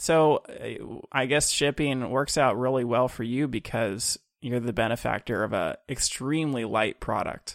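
In a very clean recording with a silent background and a dry, close sound with no echo, a man with a normal speaking voice talks at a fairly slow pace with hardly any pauses, using a medium pitch and ordinary pitch variation. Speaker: podcast host. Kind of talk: interview, conversational.

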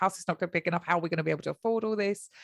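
The voice carries a British accent. The sound is dry and close, with no echo. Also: woman. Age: 40s. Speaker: mother sharing fertility journey. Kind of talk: podcast interview.

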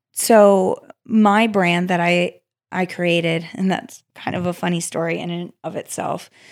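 A woman with an ordinary speaking voice talks at a fairly slow pace. Her pitch is fairly low, and the recording is very clean with a silent background. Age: 20s. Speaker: secondhand fashion business owner. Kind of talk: casual interview chat. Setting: studio.

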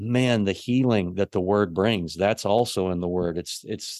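Fairly slow and fairly even in intonation, a man talks in a plain, everyday voice at a fairly low pitch. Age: 40s. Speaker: pastor. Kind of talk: casual chat.

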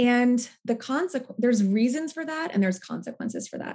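In an American accent, a somewhat breathy woman speaks at a fairly quick pace with very wide pitch swings. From US Northwest. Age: 30s. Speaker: therapist and nonprofit leader. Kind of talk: interview.

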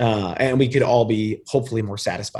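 In an American accent, a man talks in a somewhat breathy voice. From New York suburbs, US. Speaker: beverage company founder. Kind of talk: interview. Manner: casual.

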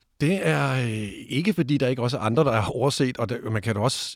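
With vocal fry and a medium pitch, a man talks at a fairly quick pace with ordinary pitch variation, on a very clean recording with a silent background and a dry, close sound with no echo. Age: 50s. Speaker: sexologist. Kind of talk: debate interview. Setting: studio. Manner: hesitant, many fillers.

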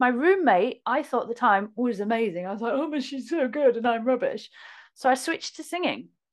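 Fairly quick delivery with lively intonation. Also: woman, high pitch for a woman. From northern England, Hull (Yorkshire). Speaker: flute player and teacher. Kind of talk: casual chat.

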